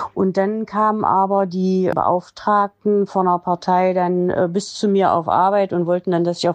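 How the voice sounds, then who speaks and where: Over a quiet background, a woman with a medium-pitched voice speaks at a moderate pace in a monotone, flat intonation, her loudness very even and her speech with hardly any pauses. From East Germany, Saxony-Anhalt (Quedlinburg). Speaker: interviewee, mother of the host. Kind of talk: personal life story interview.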